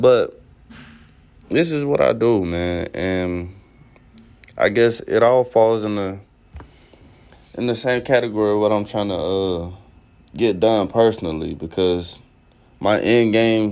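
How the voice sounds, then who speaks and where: Pausing often and at length, a man with a fairly low pitch speaks at a fairly slow pace with ordinary pitch variation. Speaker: podcaster venting on his own channel. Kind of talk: casual monologue. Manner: casual, with hesitations and repeated words.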